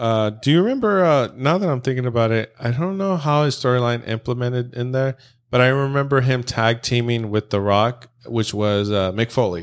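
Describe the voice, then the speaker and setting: The pace is moderate, and the pitch varies in an ordinary way in an ordinary speaking voice. The background is silent on a very clean recording. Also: man, medium pitch for a man. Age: 30s. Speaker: podcast host. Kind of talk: casual chat. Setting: in person, same room.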